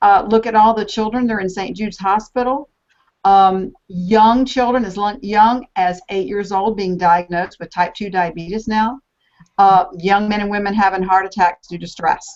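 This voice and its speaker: A woman with a plain, everyday voice, medium pitch, fairly even intonation, a moderate pace and big swings in loudness. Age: 60s. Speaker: health coach. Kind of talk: panel discussion.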